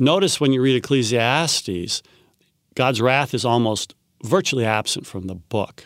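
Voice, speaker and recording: In a very clean recording over a silent background, a man at medium pitch speaks at a moderate pace with lively intonation, big swings in loudness, and long, frequent pauses. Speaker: biblical scholar. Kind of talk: interview.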